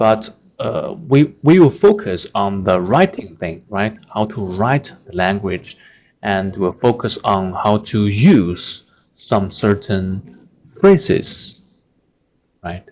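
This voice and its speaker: A man with a Chinese accent speaks very slowly in a fairly low voice, his loudness swinging widely. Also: ordinary pitch variation. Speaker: language teacher on video channel. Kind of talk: tutorial. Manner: halting, many fillers.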